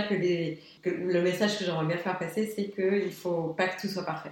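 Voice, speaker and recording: Audible room echo and noticeable background noise. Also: woman. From Luxembourg. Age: young. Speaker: graphic designer. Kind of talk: interview. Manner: animated.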